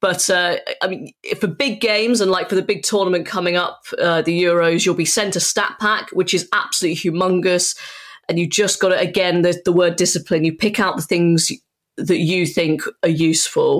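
A woman speaks at a moderate pace with fairly even intonation. She has an unremarkable speaking voice. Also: medium pitch for a woman, very even loudness. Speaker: football commentator. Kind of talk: interview.

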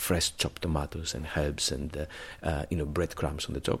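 A man speaks with a Greek accent at a very deep, low pitch. The recording is very clean, with a silent background. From Greece. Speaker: chef. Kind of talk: round-table discussion. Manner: halting.

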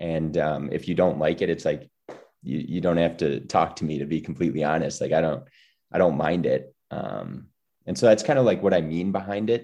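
A man with a Midwestern accent speaks at a moderate pace in a very deep, low pitch, with a dark, mellow tone, vocal fry and ordinary pitch variation. The background is quiet. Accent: Midwestern, self-described. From US Midwest, small-town Wisconsin. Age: 20s. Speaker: podcast guest. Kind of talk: casual interview chat.

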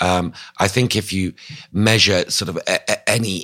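A man's bright, sharp voice with vocal fry and a British RP accent. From England. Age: 50s. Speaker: newspaper columnist and author. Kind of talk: interview.

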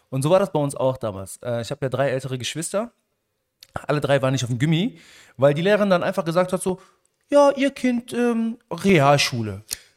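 A man with a fairly high pitch speaks in an animated tone, his pitch swinging very widely. Long, frequent pauses break up his speech. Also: very clean recording, silent background. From Germany, Stolberg near Aachen (Moroccan family). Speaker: podcast co-host. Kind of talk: casual chat.

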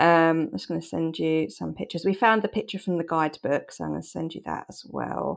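Speaking in an English accent at a fairly quick pace with hardly any pauses, a woman makes big swings in loudness in a very clean recording with a silent background. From England. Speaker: podcast co-host. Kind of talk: casual chat.

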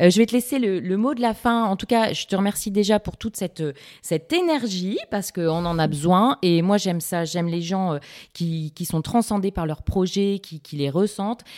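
A woman with a normal speaking voice talks at a moderate pace and medium pitch, with ordinary pitch variation and a dry, close sound with no echo. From northern France, Lille. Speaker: podcast host, communications freelancer. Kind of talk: interview.

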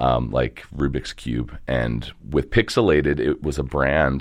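A man with an American accent speaks fairly slowly, his very deep, low voice marked by vocal fry. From Baltimore area, Maryland (Dundalk). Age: 30s. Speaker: photo booth company co-founder. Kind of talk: casual interview.

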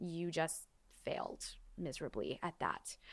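Heard in a very clean recording against a silent background, an unremarkable speaking voice with an American accent moves at a moderate pace. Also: woman. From Los Angeles, San Fernando Valley. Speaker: musical theater performer and director. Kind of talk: casual chat.

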